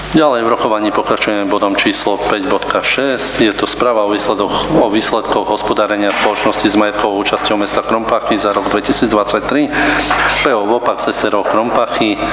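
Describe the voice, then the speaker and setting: Fairly low for a man, his voice comes with audible room echo and noticeable background noise. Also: fairly even intonation, moderate pace. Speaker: mayor chairing council meeting. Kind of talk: formal council meeting proceedings. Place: meeting room. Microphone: podium.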